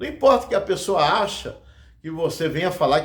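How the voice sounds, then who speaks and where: Room echo can be heard clearly. Within it, a man speaks at a moderate pace. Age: 60s. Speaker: evangelist preacher. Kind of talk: sermon. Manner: halting.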